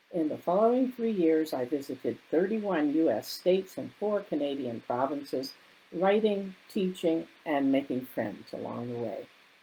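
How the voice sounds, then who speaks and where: At a moderate pace, a woman with a fairly low voice and a dark, mellow tone speaks with very wide pitch swings. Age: 70s. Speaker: therapist and author. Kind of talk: reading aloud.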